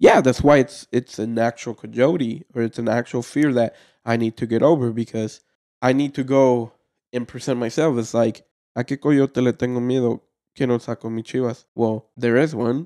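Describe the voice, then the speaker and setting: Recorded dry and close with no echo, a man speaks at a moderate pace in a dark, mellow, medium-pitched voice with fairly even intonation. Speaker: podcast co-host. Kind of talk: casual chat. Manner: halting.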